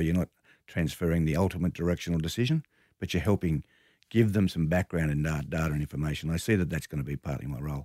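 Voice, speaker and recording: A man with a very deep, low voice and an Australian accent, speaking at a very fast pace, in a very clean recording with a silent background. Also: dry, close sound with no echo. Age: 60s. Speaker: media company chief executive. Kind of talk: interview.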